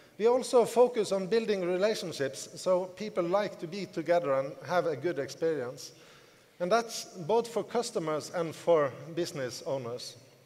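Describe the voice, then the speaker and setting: A man's high-pitched voice at a moderate pace, lively in intonation, over noticeable background noise. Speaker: network marketing team leader. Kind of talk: motivational conference speech. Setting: stage with audience.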